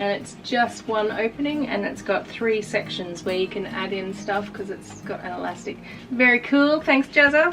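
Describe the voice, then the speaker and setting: A woman with an Australian accent talks at a moderate pace and medium pitch. Her intonation is lively, with noticeable background noise behind her. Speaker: artist and YouTuber. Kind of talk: casual unboxing vlog. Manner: animated.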